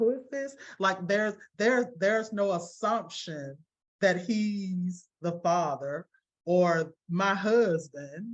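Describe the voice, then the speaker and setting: Speaking very slowly in a Southern accent, a woman uses a medium pitch with ordinary pitch variation. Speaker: parent of a seriously ill child. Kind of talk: interview testimony. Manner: halting, many repetitions.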